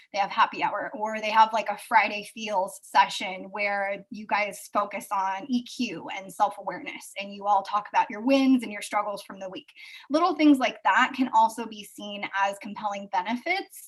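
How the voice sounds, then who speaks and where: Somewhat breathy and at medium pitch, a woman speaks at a moderate pace with ordinary pitch variation, hardly any pauses and big swings in loudness. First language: not English. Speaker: recruiting expert and author. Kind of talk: webinar presentation. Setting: live video stream.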